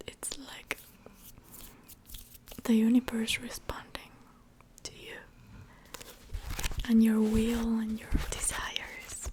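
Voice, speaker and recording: Whispered speech from a woman, very slow, with long, frequent pauses, big swings in loudness, and noticeable background noise underneath. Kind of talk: ASMR show and tell video, soft spoken. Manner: soft-spoken.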